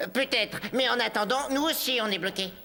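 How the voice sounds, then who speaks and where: A put-on character voice with a fairly high pitch moves at a fairly quick pace over light background noise. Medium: fan dub. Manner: analytical, matter-of-fact.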